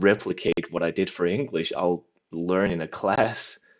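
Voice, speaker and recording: A man talks with a non-native accent at a fairly low pitch. The background is quiet. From mainland Europe. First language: a European language, not English. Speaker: language learning vlogger. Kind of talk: casual monologue. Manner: rambling, many fillers.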